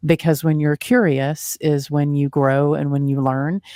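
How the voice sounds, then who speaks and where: A woman's very deep, low voice with a Texan accent and a dark, mellow tone, at a moderate pace with fairly even intonation, in a dry, close, very clean recording with a silent background. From Texas. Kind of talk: interview conversation.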